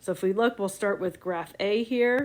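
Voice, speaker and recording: A woman speaks in an ordinary speaking voice at medium pitch. Her pace is fairly slow. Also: very clean recording, silent background. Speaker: science teacher. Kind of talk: tutorial.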